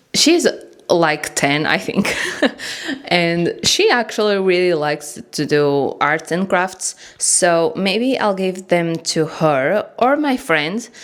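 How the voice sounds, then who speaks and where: A woman's medium-pitched voice at a very slow pace, with lively intonation and a non-native accent. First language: not English. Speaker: bookish journaling vlogger. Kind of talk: casual vlog talk to camera. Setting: home studio. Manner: informal, hesitant.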